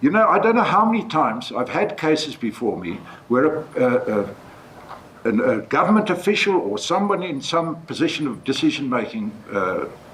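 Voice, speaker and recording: Against noticeable background noise, a man with a fairly high pitch speaks in very wide pitch swings. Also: moderate pace. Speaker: judge. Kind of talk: panel discussion. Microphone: speaking without a microphone.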